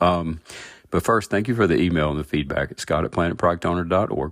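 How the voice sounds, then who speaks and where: In an American accent, the speaker talks at a very fast pace with ordinary pitch variation on a very clean recording with a silent background. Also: man. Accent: Southern US accent, toned down. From US South. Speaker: podcast host, agile product coach. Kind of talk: podcast monologue.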